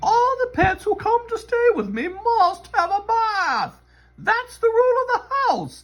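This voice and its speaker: This is a put-on character voice pitched extremely high. It moves at a fairly slow pace. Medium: read story. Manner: firm, proper, motherly.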